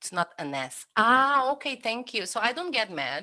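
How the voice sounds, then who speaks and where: Against a quiet background, a woman speaks fairly slowly in a bright, sharp tone with very wide pitch swings. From Brazil. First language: Portuguese. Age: 30s. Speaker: cook. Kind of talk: interview. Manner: halting.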